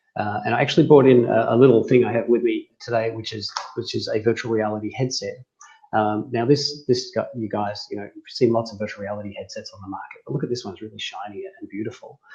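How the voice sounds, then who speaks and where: With an Australian accent, the speech runs at a very fast pace with big swings in loudness. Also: man. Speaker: tech company CEO. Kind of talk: interview.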